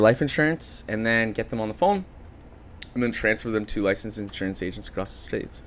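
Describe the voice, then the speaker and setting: In a Canadian accent, a man with a normal speaking voice talks at a fairly quick pace, medium in pitch and with ordinary pitch variation. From Ontario, Canada (Chatham, London). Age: 20s. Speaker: marketing business founder. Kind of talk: podcast interview. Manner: casual, filler-heavy.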